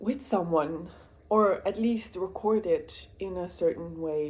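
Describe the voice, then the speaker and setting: A woman talks at a very slow pace. Her medium-pitched voice shows ordinary pitch variation. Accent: Flemish. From Belgium, Dutch-speaking part. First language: Dutch. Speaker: booktuber, student nurse. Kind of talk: casual vlog chat. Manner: rambling, hesitant with many fillers.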